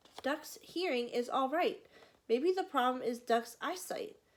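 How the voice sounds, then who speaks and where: Moderately paced speech in a put-on character voice. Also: woman, high pitch for a woman. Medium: read story.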